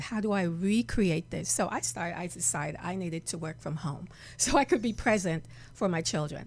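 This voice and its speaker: A woman speaks with a fairly low pitch and vocal fry. Her pitch variation is ordinary. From Jamaica. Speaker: reverend and healer. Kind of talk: interview. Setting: studio.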